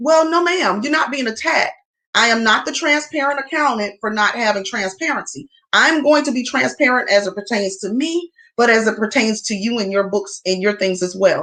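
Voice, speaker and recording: A loud, animated woman's voice, fairly high in pitch, with an American accent. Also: lively intonation. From US South. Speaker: accountant and tax preparer. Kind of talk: livestream talk to viewers.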